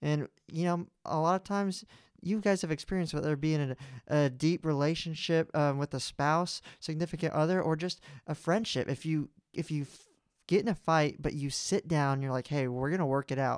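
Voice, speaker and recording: Recorded dry and close with no echo against a silent background, a man uses a normal speaking voice, fairly high in pitch with ordinary pitch variation, at a fairly quick pace. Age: 20s. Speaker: podcast co-host. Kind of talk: casual chat.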